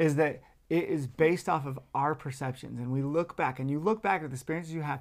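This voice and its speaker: The recording is very clean, with a silent background. The speech moves at a very fast pace. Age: 40s. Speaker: self-help podcast co-host. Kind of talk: casual chat.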